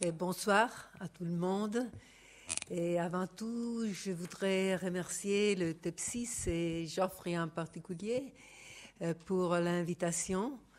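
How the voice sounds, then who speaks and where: The speaker has an Italian accent and talks at a very slow pace. Pitch varies in an ordinary way. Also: woman, medium pitch for a woman. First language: Italian (speaking French). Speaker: sociology professor. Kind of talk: academic talk.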